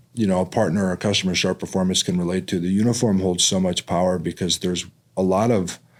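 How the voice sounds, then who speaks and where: On a very clean recording with a silent background, a man speaks in a very deep, low voice with fairly even intonation. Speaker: podcast host. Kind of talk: podcast interview hosting.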